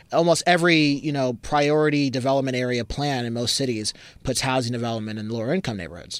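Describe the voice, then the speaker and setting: Talking at a very fast pace, a man with an American accent has a medium pitch and ordinary pitch variation. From US West Coast, Berkeley, California. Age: young. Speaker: housing advocate. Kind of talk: casual chat. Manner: animated.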